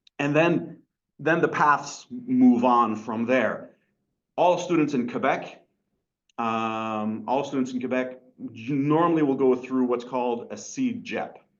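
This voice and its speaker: Speaking at a very slow pace, a man uses a medium pitch. His pitch varies in an ordinary way, and room echo is audible. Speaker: college teacher. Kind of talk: lecture.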